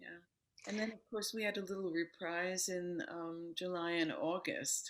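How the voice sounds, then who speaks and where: A woman with an American accent at a medium pitch and a fairly slow pace, with ordinary pitch variation and big swings in loudness. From New York City, US. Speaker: yoga teacher and author. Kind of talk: interview. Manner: calm.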